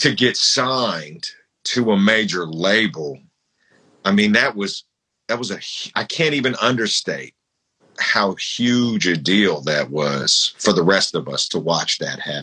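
With a bright, sharp tone and vocal fry, a man talks at a fairly low pitch and a fairly slow pace, his pitch swinging very widely. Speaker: podcast host and rapper. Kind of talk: casual interview. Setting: Instagram live. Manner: animated.

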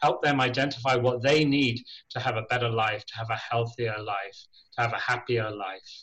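Fairly quick and fairly even in intonation, a man speaks with an English accent. His pitch is medium. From Ireland, schooled in England. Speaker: charity chief executive. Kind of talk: radio interview.

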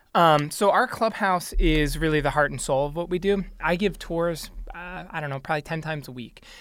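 An unremarkable speaking voice from a man, fairly quick in pace, with ordinary pitch variation. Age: 30s. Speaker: youth cycling nonprofit leader. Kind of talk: radio interview.

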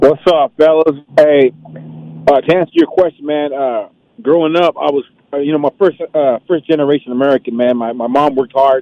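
Fairly even intonation and a moderate pace mark an ordinary speaking voice. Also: man, fairly high pitch for a man. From East Bay, California. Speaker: caller. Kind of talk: casual chat.

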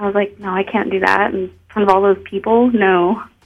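A woman speaks with music in the background. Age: 20s. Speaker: adult film performer. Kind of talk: radio interview.

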